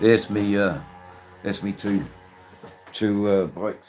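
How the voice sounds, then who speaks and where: Over music in the background, a man with a strong Australian accent speaks in a fairly low pitch and a relaxed tone. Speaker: livestreamer, motorcycle rider. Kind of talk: casual live stream chat. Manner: relaxed, chatty.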